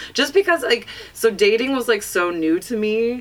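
With an American accent, a woman with an unremarkable speaking voice talks at a moderate pace with lively intonation. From US West, northern California (Placer County). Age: 30s. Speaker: stand-up comedian. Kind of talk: casual chat. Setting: studio.

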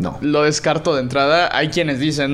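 Audible room echo surrounds a man who speaks fairly quickly at a fairly high pitch. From Mexico, Puebla. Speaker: blockchain startup founder. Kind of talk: interview.

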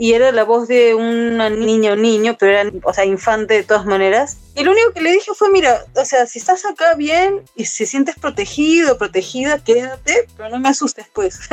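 A high-pitched woman's voice at a moderate pace with very wide pitch swings, hardly any pauses, and noticeable background noise. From Peru, Ica. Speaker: tattoo artist and musician. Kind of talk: casual chat. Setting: remote call.

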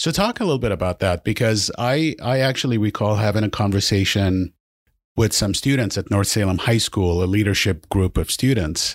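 On a very clean recording with a silent background and a dry, close sound with no echo, a man uses a normal speaking voice at a fairly low pitch, with ordinary pitch variation, very even loudness and a moderate pace. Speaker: podcast co-host. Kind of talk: interview conversation. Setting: studio.

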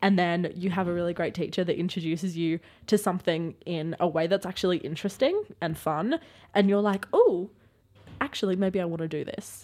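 With an Australian accent, a woman talks at a fairly quick pace in a fairly low pitch with fairly even intonation. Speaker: podcast host. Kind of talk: casual chat. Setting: studio.

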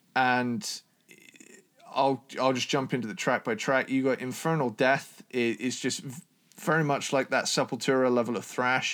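With a normal speaking voice, a man talks at a moderate pace and medium pitch, his intonation fairly even. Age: 20s. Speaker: metal podcast co-host. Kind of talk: casual chat.

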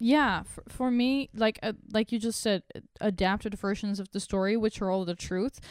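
A woman has an unremarkable speaking voice at medium pitch. The sound is dry and close with no echo. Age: 20s. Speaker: podcast host. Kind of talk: casual chat.

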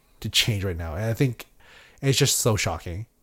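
Over a silent background in a very clean recording, a man speaks in a fairly low, somewhat breathy voice with ordinary pitch variation. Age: 20s. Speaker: podcast co-host. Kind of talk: casual chat.

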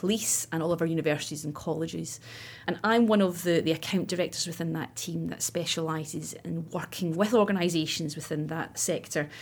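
Someone with a Scottish accent talks at a moderate pace with ordinary pitch variation, recorded very cleanly against a silent background. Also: woman. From Scotland, west coast near Loch Lomond. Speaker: recruitment account director. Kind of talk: interview. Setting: studio.

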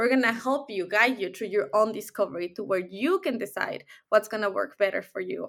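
A woman speaks at a fairly quick pace with a Mexican accent, fairly high in pitch, with ordinary pitch variation and hardly any pauses. The recording is very clean, with a silent background. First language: Spanish. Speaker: life coach. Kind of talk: interview. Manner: blunt.

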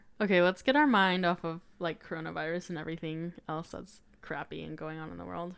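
In a plain, everyday voice with an American accent, a woman talks at a fairly quick pace with hardly any pauses, fairly low pitch and fairly even intonation, on a very clean recording with a silent background. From Colorado, US. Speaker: podcaster. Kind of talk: casual chat.

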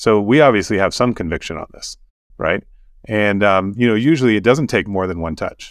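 A man with an American accent, a medium pitch, lively intonation and a fairly quick pace. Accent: American-sounding. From Sudan and Kenya, American missionary family. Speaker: tech entrepreneur, bitcoin mining company CEO. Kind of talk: casual interview conversation. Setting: remote call from Kenya. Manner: frequent hesitations, many ums.

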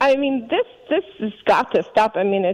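Recorded in a dry, close sound with no echo amid noticeable background noise, a woman speaks at a moderate pace. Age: 50s. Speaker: physician. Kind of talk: interview.

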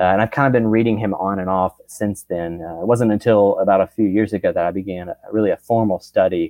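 A normal speaking voice from a man, fairly low in pitch, with fairly even intonation and a moderate pace. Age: 30s. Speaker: theology student and church teacher. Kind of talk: interview on church history. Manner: frequent filler words.

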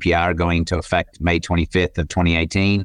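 Against a quiet background, a man with an Australian accent talks fairly quickly at a very deep, low pitch. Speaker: tech company CEO and co-founder. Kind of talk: interview conversation.

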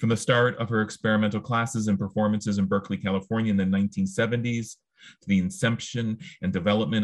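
A man's unremarkable speaking voice, fairly low in pitch, at a fairly quick pace against a quiet background. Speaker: podcast host. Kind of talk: interview conversation. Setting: video call.

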